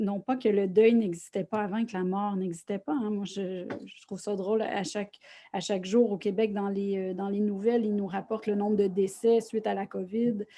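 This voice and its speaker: In a Quebec accent, a woman speaks at a moderate pace and medium pitch, her tone dark and mellow. Her intonation is monotone and flat, over a quiet background. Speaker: social worker and grief workshop presenter. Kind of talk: online lecture. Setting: online video conference.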